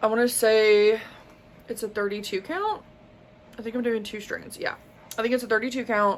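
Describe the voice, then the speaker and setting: Speaking with a Southern US accent, a woman uses a fairly high pitch and fairly even intonation. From US South. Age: 20s. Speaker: crafting YouTuber. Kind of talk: casual show-and-tell vlog.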